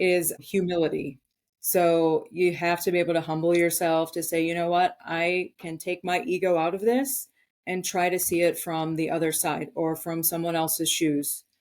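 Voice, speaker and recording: In a very clean recording with a silent background, a woman with an American accent speaks fairly low at a moderate pace with fairly even intonation. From Wisconsin, Milwaukee. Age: 40s. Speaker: army veteran. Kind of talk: podcast interview. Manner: articulate, careful enunciation.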